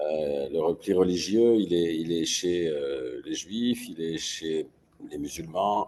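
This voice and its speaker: Ordinary pitch variation marks speech delivered at a very slow pace. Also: man, very deep, low pitch for a man. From France, Paris. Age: 60s. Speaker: writer and publisher. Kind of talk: interview. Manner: hesitant, frequent euh.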